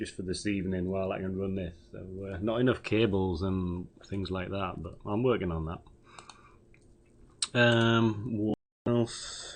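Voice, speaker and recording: A man with a British accent mumbles at a fairly slow pace in a fairly low pitch. He leaves long, frequent pauses. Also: fairly even intonation. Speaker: amateur radio operator. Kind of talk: radio net check-in report. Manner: mumbling.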